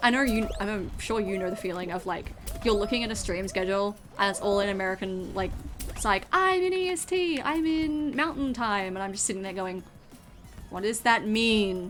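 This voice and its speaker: Amid noticeable background noise and audible room echo, a woman speaks at a moderate pace with a medium pitch and lively intonation. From Australia. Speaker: VTuber streamer. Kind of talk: casual chat. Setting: live stream.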